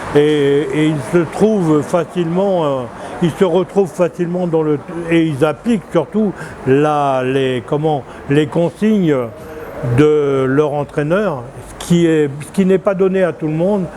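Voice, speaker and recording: The speech comes at a very slow pace, broken by long, frequent pauses, with ordinary pitch variation. Noticeable background noise is present. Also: man, fairly high pitch for a man. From France. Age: 70s. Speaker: former football coach. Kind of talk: street interview. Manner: halting.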